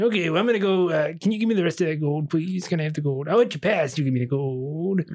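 Putting on a character voice, a man speaks at a very fast pace with a fairly high pitch. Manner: whiny, greedy, petulant.

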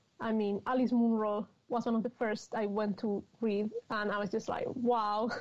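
With a Spanish accent, a woman talks at a moderate pace in a fairly high pitch, her intonation monotone and flat. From Spain, Madrid. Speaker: novelist. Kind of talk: interview.

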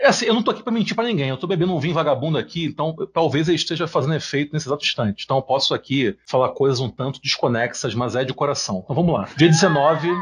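Speaking at a very fast pace with hardly any pauses, a man with a fairly high pitch uses lively intonation. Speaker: podcast host. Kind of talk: political discussion podcast.

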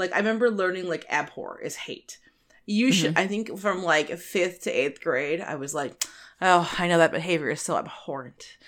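A woman's fairly low-pitched voice carries ordinary pitch variation at a moderate pace. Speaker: podcast co-host. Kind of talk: casual chat. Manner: animated.

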